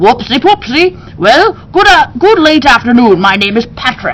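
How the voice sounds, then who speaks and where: In a put-on character voice, a woman with a high pitch swings very widely in pitch at a moderate pace, with clear background noise behind her. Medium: read story.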